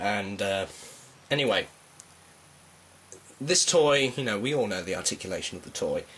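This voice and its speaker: A man with a British accent speaks with ordinary pitch variation. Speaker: toy reviewer. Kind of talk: product review. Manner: casual, hesitant with fillers.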